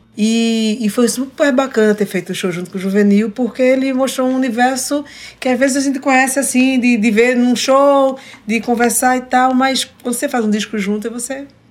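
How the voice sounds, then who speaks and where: At a moderate pace, a woman speaks with high pitch and fairly even intonation. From Recife, Brazil. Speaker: singer-songwriter. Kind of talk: casual chat, interview with duet. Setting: radio studio.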